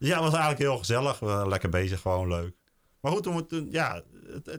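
This man speaks with lively intonation. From Netherlands, South Holland (Hoeksche Waard). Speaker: local delivery business owner. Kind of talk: podcast interview. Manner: halting.

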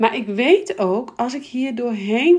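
A woman speaks with a fairly high pitch and lively intonation. Her tone is slightly mellow.

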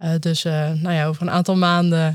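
A woman speaks in a normal speaking voice at a fairly low pitch. Her pace is fairly slow and her intonation fairly even. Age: 30s. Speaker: consultant. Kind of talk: casual interview chat.

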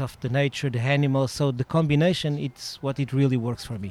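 With ordinary variation, a man's pitch sits fairly high. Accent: Portuguese. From Portugal, Sintra near Lisbon. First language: Portuguese. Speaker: dressage judge and riding club owner. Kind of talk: interview. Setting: outdoors at a riding club.

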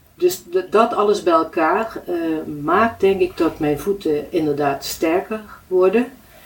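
A woman speaks at a very slow pace with ordinary pitch variation. Noticeable background noise sits behind her. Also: medium pitch for a woman. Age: 70s. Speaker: client of a foot therapist. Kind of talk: interview.

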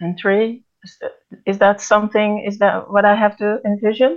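Speaking with a Dutch accent, a woman has a medium pitch. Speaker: podcast co-host. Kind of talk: interview. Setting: video call.

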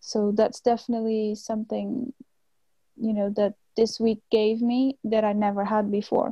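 In a Portuguese accent, a woman with a fairly high pitch and a dark, mellow, somewhat breathy tone speaks at a moderate pace in a flat monotone, with a dry, close sound and no echo. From Portugal, Cascais near Lisbon. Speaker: graduate student. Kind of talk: interview.

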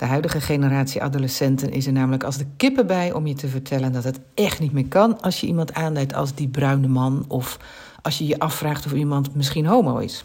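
With audible room echo, a woman with a very deep, low pitch speaks at a fairly quick pace. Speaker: psychologist. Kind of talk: scripted book review.

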